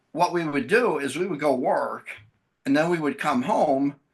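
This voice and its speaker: Using an unremarkable speaking voice, a man talks at a moderate clip with ordinary pitch variation. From US Midwest (Wisconsin). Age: 60s. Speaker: bereaved father of a child with a rare syndrome. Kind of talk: podcast interview. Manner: conversational.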